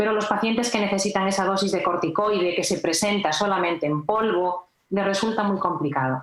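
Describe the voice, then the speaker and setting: A woman speaks in a normal speaking voice at a medium pitch, with ordinary pitch variation. Her pace is fairly quick, with hardly any pauses and very even loudness. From Galicia, Spain. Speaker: nurse. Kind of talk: health podcast interview.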